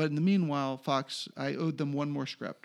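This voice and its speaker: A man with an ordinary speaking voice and an American accent talks fairly quickly at a fairly high pitch, in a very clean recording with a silent background. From Pennsylvania, Philadelphia suburbs. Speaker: TV writer. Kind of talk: casual chat.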